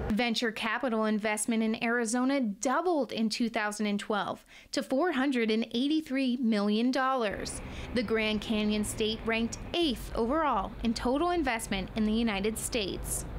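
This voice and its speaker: Speaking at a moderate pace, a woman uses a plain, everyday voice at a fairly high pitch, with ordinary pitch variation and very even loudness. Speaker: broadcast journalism student reporter. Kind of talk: TV news reporting.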